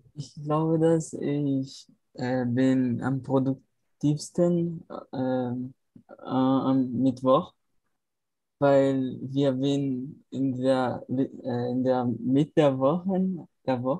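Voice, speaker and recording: Speaking at a very slow pace, a man with a Portuguese accent uses a medium pitch and fairly even intonation in a dark, mellow tone. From Brazil, Natal. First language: Portuguese (speaking German). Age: 20s. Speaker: film student, language learner. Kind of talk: language practice conversation. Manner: halting.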